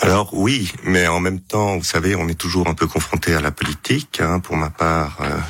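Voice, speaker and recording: A man talks at a moderate speed while noticeable noise hums in the background. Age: 50s. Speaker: politician and physician. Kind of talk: radio interview.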